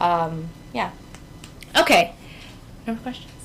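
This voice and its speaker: The speaker has a New York accent and lively intonation at a moderate pace. Noticeable background noise is present. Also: woman. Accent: New York American English. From New York City. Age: 20s. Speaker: teacher. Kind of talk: talk with slides. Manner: casual, conversational.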